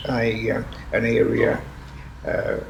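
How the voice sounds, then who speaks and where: A man speaks over noticeable background noise. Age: 80s+. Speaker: retired minister. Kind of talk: interview answer. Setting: indoor room with air conditioning noise.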